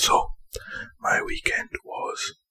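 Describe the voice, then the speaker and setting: A man whispers in a put-on character voice. His voice is raspy. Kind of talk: ASMR whisper storytelling. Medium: solo performance. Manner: rambling, casual, self-correcting.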